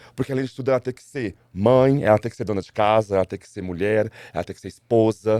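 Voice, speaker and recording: A man's very fast speech, fairly low in pitch with a dark, mellow tone and ordinary pitch variation, in a dry, close sound with no echo. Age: 40s. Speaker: school teacher. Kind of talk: interview conversation. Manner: halting, with repeated words.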